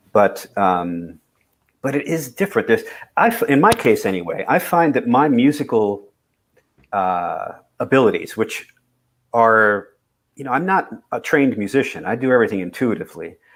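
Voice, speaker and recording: A man's voice with vocal fry and very wide pitch swings, moderate in pace with long, frequent pauses, on a very clean recording with a silent background. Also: medium pitch for a man. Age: 60s. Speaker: singer-songwriter. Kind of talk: casual chat.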